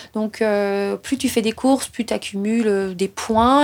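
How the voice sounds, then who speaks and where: In a normal speaking voice, a woman speaks at a fairly slow pace and fairly high pitch, with fairly even intonation. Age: 30s. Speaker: trail runner. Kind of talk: personal storytelling.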